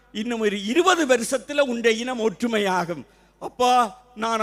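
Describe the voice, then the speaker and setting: A man's extremely high-pitched voice with ordinary pitch variation, over noticeable background noise. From Sri Lanka, Jaffna. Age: 60s. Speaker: retired teacher and Tamil literature speaker. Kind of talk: public speech. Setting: stage with audience. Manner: formal.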